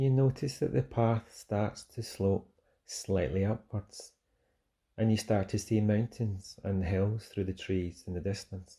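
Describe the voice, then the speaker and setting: A man with a Scottish accent speaks at a fairly slow pace and fairly low pitch, his somewhat breathy voice dark and mellow in tone with ordinary pitch variation. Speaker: fitness instructor. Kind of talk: guided mindfulness meditation. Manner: soft-spoken, slow.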